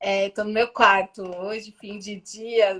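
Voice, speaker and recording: This woman speaks in a Paulista accent at medium pitch. Her intonation stays fairly even. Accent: Paulista Brazilian Portuguese. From Brazil, São Paulo. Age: 40s. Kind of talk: interview. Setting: video call from home bedroom.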